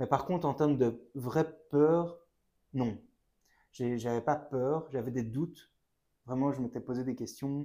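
A man of medium pitch speaks very slowly with a Belgian accent and a dark, mellow tone, pausing long and often, on a very clean recording with a silent background. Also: fairly even intonation. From Belgium, Brussels. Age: 20s. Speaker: engineer and traveller. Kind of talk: casual interview.

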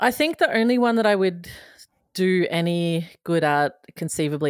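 Over a silent background in a very clean recording, a woman talks at a moderate pace in a fairly low pitch with lively intonation. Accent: Australian. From Queensland, Australia. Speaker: satirist and TV recapper.

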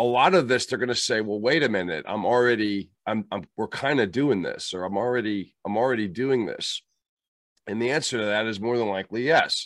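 A man with a plain, everyday voice talks at a fairly quick pace and a medium pitch with ordinary pitch variation. The recording is very clean, with a silent background. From US, moved around (Kentucky, Germany, Pittsburgh). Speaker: leadership trainer, former Marine officer. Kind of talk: interview.

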